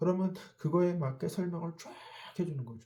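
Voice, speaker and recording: Somewhat breathy, a man's dark, mellow voice moves with ordinary pitch variation. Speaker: network marketing lecturer. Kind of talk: online lecture. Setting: self-recorded video. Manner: slow.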